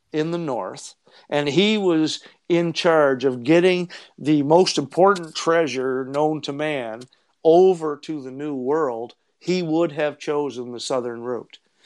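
This man uses a normal speaking voice at a fairly high pitch. He goes at a fairly slow pace with ordinary pitch variation. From Eastern Canada. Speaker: treasure hunter and researcher. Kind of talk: casual interview chat.

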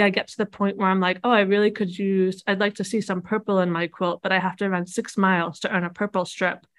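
The speaker has an ordinary speaking voice. The pace is fairly quick. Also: woman. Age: 40s. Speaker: quilter and online quilting community founder. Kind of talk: interview.

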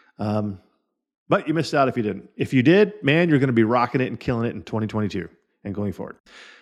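Against a quiet background, a man talks at a very fast pace and medium pitch, with lively intonation and big swings in loudness. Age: 40s. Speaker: podcast host and insurance sales coach. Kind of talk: solo podcast monologue.

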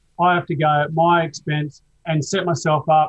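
This is a man with an Australian accent. His pitch is fairly high. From Adelaide, South Australia. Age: 60s. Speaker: surf film cinematographer and director. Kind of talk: casual interview.

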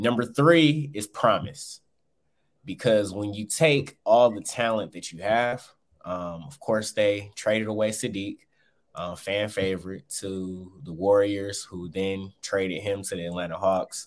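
A man's unremarkable speaking voice with an American accent, fairly low in pitch, at a fairly slow pace, with ordinary pitch variation and big swings in loudness, on a very clean recording with a silent background. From Michigan (Saginaw). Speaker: sports beat writer. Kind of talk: casual chat.

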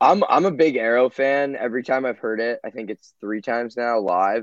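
A man with a normal speaking voice talks at a moderate pace and a medium pitch, with ordinary pitch variation. The sound is dry and close, with no echo. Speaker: podcast guest. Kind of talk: casual chat.

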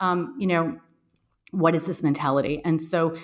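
Talking at a fairly quick pace in a normal speaking voice, a woman with an American accent speaks at a fairly low pitch. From US, Boston. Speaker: psychologist and author. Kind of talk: interview.

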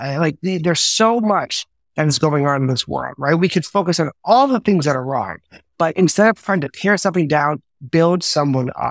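With a New York accent and lively intonation, a man with a fairly high voice speaks at a moderate pace in a dry, close recording with no echo. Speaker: entertainment business executive. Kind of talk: casual interview chat. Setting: video call.

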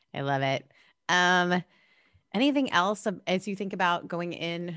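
A woman speaks with a slight Southern California accent at a fairly low pitch. The background is quiet. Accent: slight Valley girl like speech. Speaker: podcast host and pastor. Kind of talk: casual chat.

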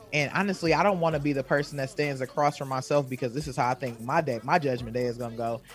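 Over noticeable background noise, a man with an American accent speaks very fast in a fairly high voice with ordinary pitch variation. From Wisconsin. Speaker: self-care coach. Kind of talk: casual chat.

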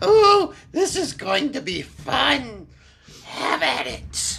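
In a put-on character voice, the speaker cackles at a high pitch and a very slow pace. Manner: gleeful, cackling.

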